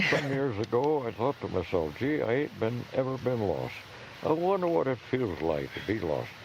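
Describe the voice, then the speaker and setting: Over noticeable background noise, a man speaks at medium pitch. His pace is moderate and his pitch swings very widely. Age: 80s+. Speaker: park ranger. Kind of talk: outdoor ranger talk answering audience questions. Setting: outdoors.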